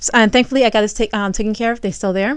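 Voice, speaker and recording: Against a quiet background, a woman talks in a fairly high pitch. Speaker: vlogger. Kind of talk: casual vlog monologue. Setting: home, recording at night. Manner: fast; halting, many fillers and restarts.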